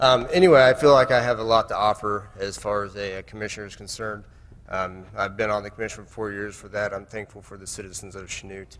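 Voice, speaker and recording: Speaking at a very fast pace, a man uses a fairly low pitch. His pitch varies in an ordinary way. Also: big swings in loudness. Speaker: city commissioner. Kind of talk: candidate forum statement. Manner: soft-spoken; halting.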